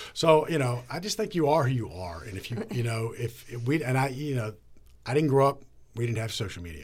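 Somewhat breathy, a man with an American accent talks at a fairly quick pace at a medium pitch, his pitch swinging very widely. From Northern Virginia, near Washington DC. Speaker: TV news anchor. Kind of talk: interview. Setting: studio.

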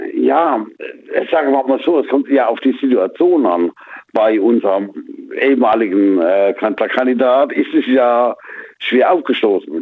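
In a normal speaking voice, a man of medium pitch talks at a fairly slow pace with lively intonation and very even loudness. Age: 50s. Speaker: radio caller. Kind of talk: radio call-in chat. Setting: phone call.

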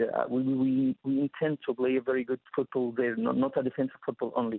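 Moderate pace and fairly even intonation, with an Arabic accent. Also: man. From Egypt. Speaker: sports journalist. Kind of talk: interview. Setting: phone call. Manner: halting.

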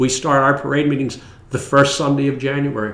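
At a moderate pace, a man with a fairly high pitch speaks over noticeable background noise. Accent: American. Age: 70s. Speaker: St. Patrick's parade organizer. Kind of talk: casual interview.

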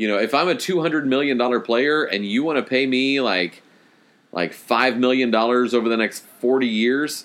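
A man speaks at a moderate pace in a medium pitch, with ordinary pitch variation and very even loudness. He has an ordinary speaking voice. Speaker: podcast host. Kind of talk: casual banter.

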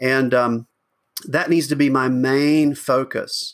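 A man speaks at a medium pitch with a Southern US accent, on a very clean recording with a silent background. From US South, rural Georgia. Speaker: pastor. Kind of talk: interview. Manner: halting, many fillers and restarts.

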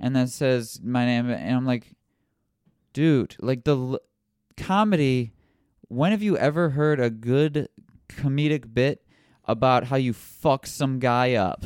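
A man with an American accent speaks at a fairly slow pace in a medium pitch. The recording is very clean, with a silent background. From Toledo, Ohio, US Midwest. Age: 20s. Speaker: stand-up comedian. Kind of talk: casual chat with brother.

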